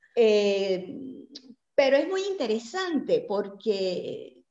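A woman with a fairly high pitch and very wide pitch swings, audible room echo and a quiet background. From Mexico (born in Puebla); Mexico. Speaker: presenter. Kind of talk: interview. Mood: warm, animated. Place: home room. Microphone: video call.

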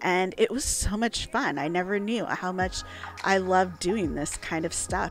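A woman is heard in a dry sound with no echo, with music in the background. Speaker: solo traveler vlogger. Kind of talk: reflective travel vlog narration.

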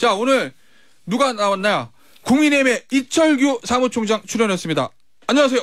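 Against a quiet background, a man speaks at a moderate pace in an extremely high pitch. He leaves long, frequent pauses. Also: ordinary pitch variation, dry sound with no echo. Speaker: radio current-affairs host. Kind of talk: radio interview. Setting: studio. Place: studio. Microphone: studio mic.

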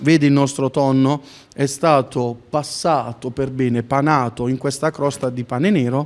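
A man talks in a normal speaking voice at a fairly slow pace. His pitch sits fairly high, and his intonation stays fairly even. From Apulia, Italy (Palagiano, Taranto); Apulia. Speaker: chef and restaurant owner. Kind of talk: tasting presentation, cooking demonstration. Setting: restaurant. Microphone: handheld.

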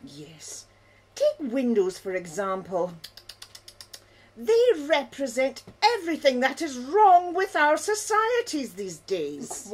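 A female-sounding, cartoonish character voice moves fairly slowly at a high pitch with very wide pitch swings. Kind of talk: comic mock-documentary interview. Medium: puppet show. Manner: indignant, scandalised, fussy.

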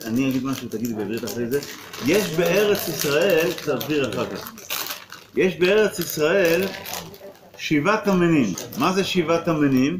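A very slow pace broken by long, frequent pauses, over noticeable background noise. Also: man. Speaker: rabbi. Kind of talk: religious talk with a blessing and teaching. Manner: pauses for translation. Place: classroom. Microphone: phone near.

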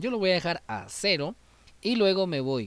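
Animated in tone, this man talks at a fairly slow pace. His pitch swings very widely. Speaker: YouTube music tutorial creator. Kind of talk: tutorial.

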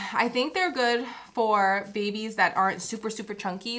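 Noticeable background noise sits under a woman speaking at a moderate pace, her pitch fairly high and her intonation fairly even. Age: 20s. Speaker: mom vlogger; new mother vlogger. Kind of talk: casual vlog talk to camera. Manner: rambling, chatty.

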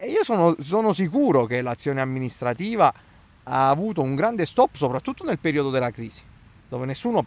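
At a moderate pace, a man speaks with very wide pitch swings in a dry sound with no echo. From Italy. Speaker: local opposition councillor. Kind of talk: interview. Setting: outdoors in a town park. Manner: hesitant, with fillers and repetitions. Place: garden. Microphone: handheld.

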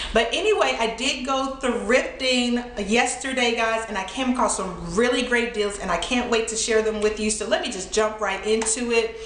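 Audible room echo comes with light background noise. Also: woman, fairly even intonation, moderate pace, hardly any pauses. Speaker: thrift haul vlogger. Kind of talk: casual vlog chat. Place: home room.

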